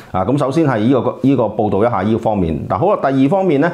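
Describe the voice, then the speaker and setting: The speaker has a Hong Kong accent. The pitch swings very widely. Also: man. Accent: Hong Kong Cantonese. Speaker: film critic co-host. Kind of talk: casual chat. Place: studio. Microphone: lapel.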